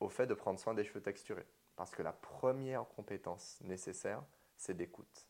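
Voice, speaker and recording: This is a plain, everyday voice with ordinary pitch variation at a moderate pace. The recording is very clean with a silent background. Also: man. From Martinique. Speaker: hairdresser and business owner. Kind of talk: interview.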